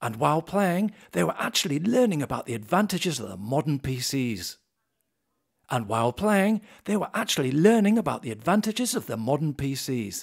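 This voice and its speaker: A man with a British accent, fairly high pitch and very wide pitch swings at a fairly quick pace, over a quiet background. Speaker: voice actor. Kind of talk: corporate case-study narration. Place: studio.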